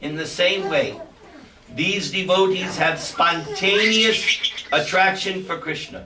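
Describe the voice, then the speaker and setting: With a raised, projected voice, a man at high pitch speaks at a very slow pace amid audible room echo and noticeable background noise. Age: 60s. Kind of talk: spiritual lecture.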